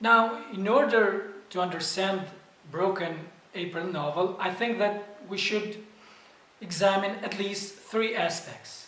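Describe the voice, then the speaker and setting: Over noticeable background noise and audible room echo, a man with a non-native accent speaks very slowly at a high pitch. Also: fairly even intonation. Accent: non-native English speaker. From northern Albania. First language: Albanian. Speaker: literature educator. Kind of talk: lecture. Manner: careful, deliberate.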